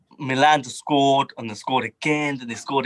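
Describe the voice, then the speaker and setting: His pitch sits in the middle range. The man talks very rapidly. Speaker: football fan. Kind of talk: casual chat.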